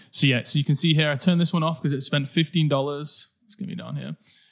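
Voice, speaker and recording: This man's voice sits at a fairly high pitch and is somewhat breathy. His pitch varies in an ordinary way. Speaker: digital marketing coach. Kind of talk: screen-share tutorial. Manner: casual, with fillers.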